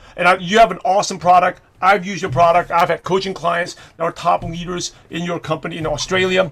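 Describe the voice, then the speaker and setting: A man with a New York accent talks very fast at a high pitch amid noticeable background noise. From New York (Brooklyn). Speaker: network marketing coach. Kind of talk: webinar training talk.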